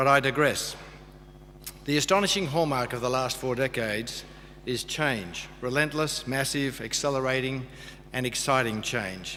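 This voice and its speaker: In an Australian accent, a man speaks at a moderate pace with a medium pitch and ordinary pitch variation. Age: 60s. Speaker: graduation speaker. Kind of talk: speech.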